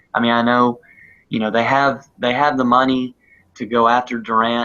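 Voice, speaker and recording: A man with a Southern US accent, medium pitch and a bright, sharp tone. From US South, South Carolina. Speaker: sports podcast co-host. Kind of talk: casual chat. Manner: halting.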